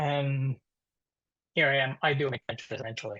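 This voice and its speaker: A man with an Italian accent talks at a moderate pace in a somewhat breathy voice with ordinary pitch variation, over a quiet background. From Italy (Perugia). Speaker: dental lab technician. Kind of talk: webinar presentation. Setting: webinar. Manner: halting.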